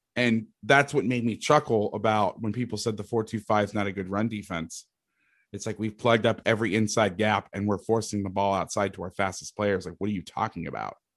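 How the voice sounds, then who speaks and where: With an American accent and an unremarkable speaking voice, the speaker talks at a fairly quick pace with fairly even intonation against a quiet background. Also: man, fairly low pitch for a man. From Florida, Orlando. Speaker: football coach and defense analyst. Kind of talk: casual chat.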